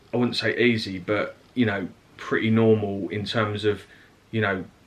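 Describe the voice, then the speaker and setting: In an Essex accent, a man talks at a moderate pace with a fairly low pitch and a monotone, flat intonation. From Essex, England. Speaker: family vlogger. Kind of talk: casual chat.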